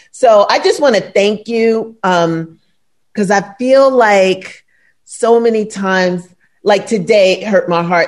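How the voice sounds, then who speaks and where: A woman with a New York accent, very slow pace and ordinary pitch variation. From New York, Brooklyn. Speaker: podcast co-host. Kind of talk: casual chat.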